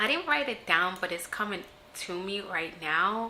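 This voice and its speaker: Noticeable background noise and audible room echo surround a woman whose pitch swings very widely. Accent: slight non-native. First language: not English. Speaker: self-empowerment vlogger. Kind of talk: casual vlog talk to camera. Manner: hesitant, many fillers.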